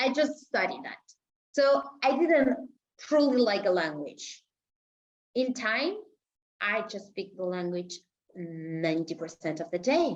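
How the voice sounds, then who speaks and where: With a Spanish accent, a woman talks at a fairly slow pace with very wide pitch swings and long, frequent pauses. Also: medium pitch for a woman. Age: 30s. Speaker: intellectual property attorney. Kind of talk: podcast interview, casual chat. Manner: animated.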